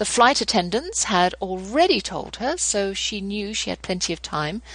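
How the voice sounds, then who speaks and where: A woman with a British accent speaks at a moderate pace. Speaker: homeschooling podcast host. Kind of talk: interview with scripted devotional reading. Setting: radio show.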